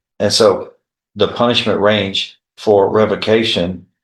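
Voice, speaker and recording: At a fairly slow pace, a man speaks with monotone, flat intonation. Room echo is audible. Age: 70s. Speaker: judge. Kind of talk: court hearing. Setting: courtroom. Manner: formal.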